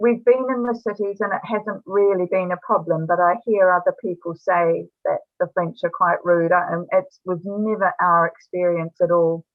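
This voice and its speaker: A woman speaks with a New Zealand accent. Her pitch is medium. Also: fairly even intonation, moderate pace, hardly any pauses. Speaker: author. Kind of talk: interview answer. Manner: casual, hesitant.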